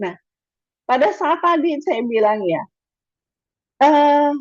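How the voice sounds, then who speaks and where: The voice carries a slight Madurese accent and moves at a very slow pace. Its pitch swings very widely. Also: woman. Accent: slight Madurese tinge. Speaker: webinar speaker on educational communication. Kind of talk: lecture. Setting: video call. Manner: casual, chatty.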